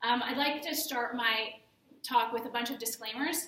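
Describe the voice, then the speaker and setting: A woman with a Canadian accent, audible room echo around her voice. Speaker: fitness magazine editor and former personal trainer. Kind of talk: guest talk to a class. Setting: classroom with audience. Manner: fast.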